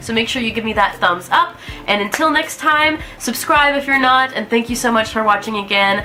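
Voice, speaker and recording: Over music in the background, a woman with an American accent talks at a fairly quick pace in a fairly high pitch. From US South, Alabama. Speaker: vlogger. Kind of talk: casual vlog talk to camera. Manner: casual, with fillers.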